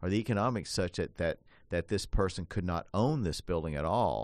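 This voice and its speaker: A very deep, low male voice with vocal fry and lively intonation against a quiet background. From Appalachia. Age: 60s. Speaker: radio host and elder law attorney. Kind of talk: radio talk show discussion.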